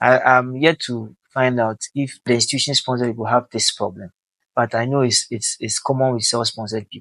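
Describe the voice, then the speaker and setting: With a Ghanaian accent, a man speaks at a moderate pace and medium pitch, his intonation fairly even. The sound is dry and close with no echo, over a quiet background. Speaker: helicopter pilot and aviation vlogger. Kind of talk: casual talk to camera. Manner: conversational, with Ghanaian Pidgin phrases.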